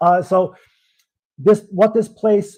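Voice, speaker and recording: Speaking with a Brooklyn accent, a man has a dark, mellow tone and a moderate pace. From US Northeast, Brooklyn, New York. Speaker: livestream co-host. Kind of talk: casual chat. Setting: livestream. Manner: halting.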